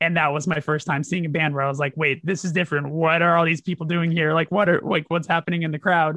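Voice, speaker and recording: Hardly pausing at all, a man with an American accent speaks at a fairly high pitch. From Burbank, California. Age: 30s. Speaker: punk band vocalist. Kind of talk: casual interview chat.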